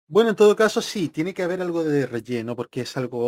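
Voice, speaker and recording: The pitch swings very widely. The recording is very clean and dry, close with no echo and a silent background. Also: man. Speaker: radio host. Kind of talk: live commentary.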